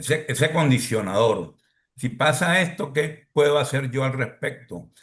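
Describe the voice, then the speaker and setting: With a normal speaking voice, a man of fairly high pitch talks at a fairly slow pace with lively intonation. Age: 60s. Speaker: podcast host. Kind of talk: podcast panel discussion.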